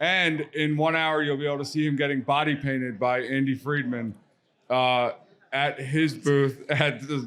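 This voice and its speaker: A man with a Baltimore accent, fairly high pitch, fairly even intonation, very even loudness and a moderate pace. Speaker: podcast co-host, card business founder. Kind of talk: casual chat. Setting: live event lounge at a card show.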